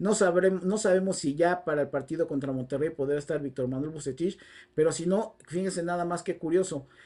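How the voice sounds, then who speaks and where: A man with a high pitch and a dark, mellow tone talks at a fairly quick pace with ordinary pitch variation. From Mexico. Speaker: football commentator. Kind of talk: solo video commentary. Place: home room. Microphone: lapel.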